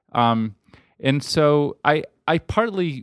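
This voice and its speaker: A man with an American accent, dry, close sound with no echo. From New York City, Upper West Side. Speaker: journalist and author. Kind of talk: casual interview. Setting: home studio. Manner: halting, many fillers.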